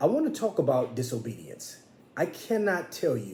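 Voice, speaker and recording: A man is speaking. Audible room echo fills the recording. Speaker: minister. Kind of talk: sermon. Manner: pitch rises when passionate; impassioned.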